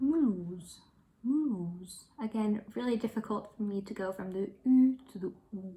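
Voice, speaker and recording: In an American accent, the voice comes through somewhat breathy with a dark, mellow tone, a fairly slow pace and ordinary pitch variation. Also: woman. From United States. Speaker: English teacher. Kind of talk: language tutorial talk to camera.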